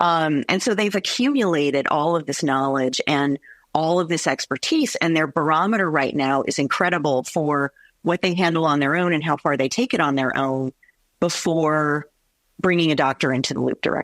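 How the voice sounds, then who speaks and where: A woman with a very deep, low voice speaks at a moderate pace and very even loudness, her pitch varying in an ordinary way. The sound is dry and close, with no echo. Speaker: veterinarian. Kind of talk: interview.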